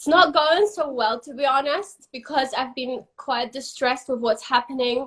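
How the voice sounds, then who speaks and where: The woman's pitch is high, with ordinary variation. She speaks at a moderate pace with a non-native accent. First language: not English. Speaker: interviewer for a company. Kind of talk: casual interview on live stream. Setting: Instagram live video.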